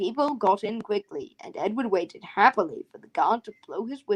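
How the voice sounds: This speaker reads in a natural reading voice.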